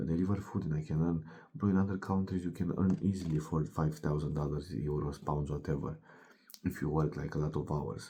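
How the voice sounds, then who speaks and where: Speaking in a Romanian accent, a man sounds somewhat breathy with a dark, mellow tone, moving at a fairly quick pace with ordinary pitch variation. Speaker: fitness coach. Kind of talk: motivational monologue. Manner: animated.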